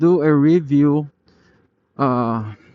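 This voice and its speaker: A man speaks with ordinary pitch variation. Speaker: motovlogger. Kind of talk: ride review vlog. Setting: riding a scooter on the road. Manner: halting, with fillers.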